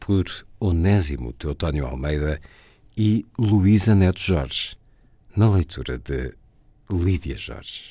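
Very slowly, with long and frequent pauses, a man talks in a very deep, low voice that is dark and mellow, somewhat breathy, and lively in intonation, on a very clean recording with a silent background. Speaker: radio host. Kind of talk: radio presentation. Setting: radio studio. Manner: formal, measured.

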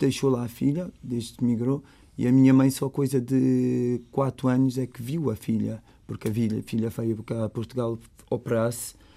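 This man talks at a fairly slow pace and a medium pitch. His tone is dark and mellow, and his intonation stays flat and monotone. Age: 30s. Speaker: resident of a housing estate. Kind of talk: interview. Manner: halting, with repetitions.

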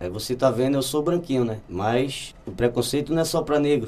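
His pitch is medium for a man, and it shifts with ordinary variation as he speaks. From Brazil, Olinda, Pernambuco. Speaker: musician. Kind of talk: casual chat.

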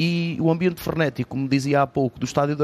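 A man's voice in a monotone, flat intonation. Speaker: sports course coordinator. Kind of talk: radio panel discussion.

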